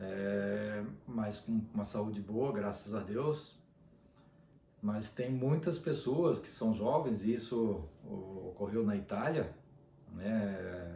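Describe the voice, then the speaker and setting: A man's fairly low voice at a very slow pace, with ordinary pitch variation, long, frequent pauses and audible room echo. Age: 60s. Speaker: dentist. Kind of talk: casual video monologue. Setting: at home.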